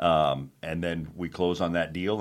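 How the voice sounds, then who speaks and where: A man talks with an American accent in a very deep, low voice. His intonation is monotone and flat. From Arizona (Phoenix). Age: 50s. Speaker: real estate investor and contractor. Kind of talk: casual interview chat.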